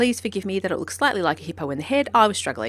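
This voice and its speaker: This woman speaks with an Australian accent. Vocal fry runs through her voice. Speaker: horse trainer. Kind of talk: vlog narration. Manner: fast.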